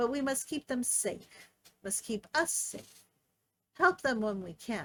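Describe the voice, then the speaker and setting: Using a put-on character voice, a woman speaks high and fairly slowly, with hissing on the sound. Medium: read story. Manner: hissing, broken speech.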